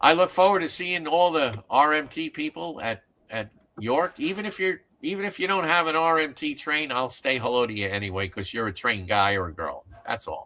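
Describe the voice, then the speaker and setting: A man's fairly high, bright and sharp voice, fairly quick in pace, with very wide pitch swings. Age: 70s. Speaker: model train manufacturer. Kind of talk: casual chat.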